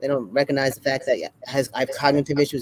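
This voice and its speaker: Rattling along at a very fast pace, a man talks at a fairly high pitch. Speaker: Parkinson's awareness advocate and fitness trainer. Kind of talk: casual interview chat.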